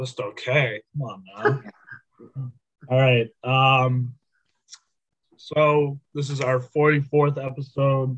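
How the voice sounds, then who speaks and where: With long, frequent pauses, a man talks at a very slow pace in a monotone, flat intonation that is somewhat breathy. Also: medium pitch for a man. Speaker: student podcast host. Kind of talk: casual chat.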